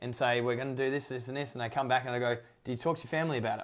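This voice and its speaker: A man speaks with fairly even intonation. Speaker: podcast host. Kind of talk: casual interview. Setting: remote call, evening.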